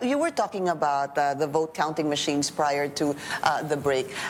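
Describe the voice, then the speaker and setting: Noticeable background noise sits behind a woman who talks at a fairly quick pace with ordinary pitch variation. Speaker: news anchor. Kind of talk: election coverage interview. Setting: TV studio.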